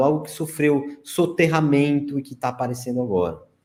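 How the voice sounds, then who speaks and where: Talking at a moderate pace, a man uses a normal speaking voice with ordinary pitch variation. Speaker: researcher of ancient sites and ufology. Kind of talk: interview presentation with slides.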